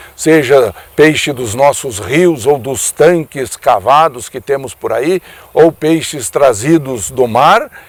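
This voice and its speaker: This man has a normal speaking voice, fairly high in pitch, and talks at a fairly slow pace. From Brazil, Paraná state. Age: 60s. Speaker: veterinarian and former politician. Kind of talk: radio commentary.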